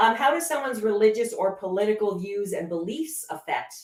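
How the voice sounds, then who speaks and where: Her pitch swinging very widely, a woman with a Canadian accent speaks at a medium pitch and a moderate pace. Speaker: show host. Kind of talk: casual chat. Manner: loud.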